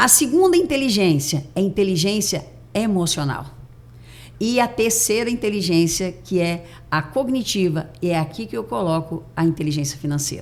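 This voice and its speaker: A woman with a fairly low pitch talks at a moderate pace. Her voice has vocal fry and very wide pitch swings. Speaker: mindset and neuroscience coach. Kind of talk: podcast interview.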